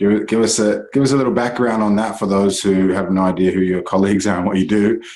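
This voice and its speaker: With audible room echo, a man talks very fast at a fairly low pitch, keeping his loudness very even and his intonation fairly even, with hardly any pauses. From Jamaica, then New Zealand. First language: Jamaican Patois. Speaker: podcast host. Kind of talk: podcast interview.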